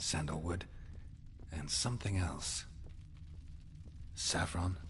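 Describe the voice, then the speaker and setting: Over clear background noise, a man puts on a character voice that is very deep and low, speaking at a fairly slow pace. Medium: video game. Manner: curt, dry.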